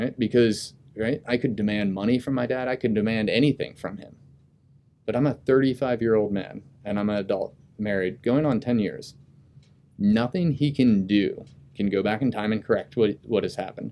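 A man speaks with an American accent at a medium pitch. His tone is dark and mellow. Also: ordinary pitch variation, moderate pace. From US Midwest (Dayton, Ohio). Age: 30s. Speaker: Marine officer and graduate student. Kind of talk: casual interview.

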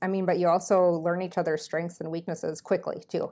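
A woman talks with an Upper Midwest accent at a fairly low pitch. Her intonation is monotone and flat. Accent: Upper Midwest American. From Minnesota. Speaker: military flight nurse. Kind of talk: casual interview.

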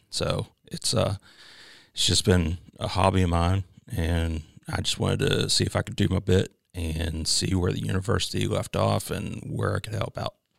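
An American accent comes through with vocal fry, ordinary pitch variation and a moderate pace. The recording is very clean, the background silent. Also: man, very deep, low pitch for a man. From Pennsylvania, Chambersburg. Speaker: university veterans coordinator, Marine veteran. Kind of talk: interview. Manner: halting, many fillers.

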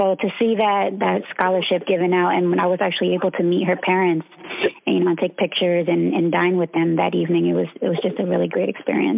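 A woman at a very fast pace with very even loudness, over noticeable background noise. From Philadelphia, Pennsylvania. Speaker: navy legalman, chief. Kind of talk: casual interview.

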